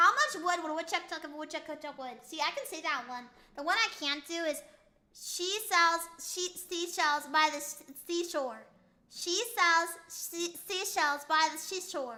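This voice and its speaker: A raised, projected voice with an American accent sounds bright, sharp, playful and animated, with ordinary pitch variation and big swings in loudness. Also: woman, extremely high pitch for a woman, moderate pace. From United States. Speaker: VTuber streamer. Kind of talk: casual live stream chat. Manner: playful, animated.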